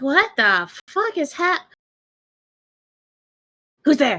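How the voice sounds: This put-on character voice sits high in pitch and swings very widely up and down.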